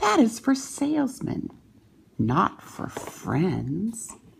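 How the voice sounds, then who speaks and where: A woman's put-on character voice, fairly high-pitched, at a very slow pace. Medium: read story.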